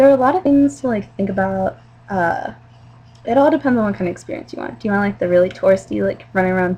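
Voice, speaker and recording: A woman in a Mid-Atlantic American accent at a very fast pace, medium in pitch, with lively intonation and big swings in loudness. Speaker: vlogger. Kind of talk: casual video message to a friend.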